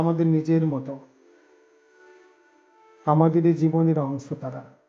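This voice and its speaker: Over music in the background, a man with a high pitch speaks in a calm tone and a monotone, flat intonation. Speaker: audiobook narrator. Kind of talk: audiobook reading of philosophical essays. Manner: calm, contemplative.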